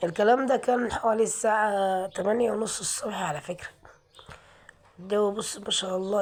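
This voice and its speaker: A woman speaks at a moderate pace in a medium pitch with fairly even intonation. Noticeable background noise sits behind her. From Aswan, Upper Egypt. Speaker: vlogger. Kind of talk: walking vlog. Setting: outdoors. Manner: prayerful, repetitive invocations.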